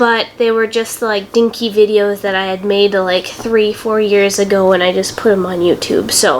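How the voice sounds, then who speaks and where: A woman talks at a fairly high pitch. Noticeable background noise runs underneath. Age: young. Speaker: YouTuber. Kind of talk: casual how-to tutorial. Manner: casual, chatty.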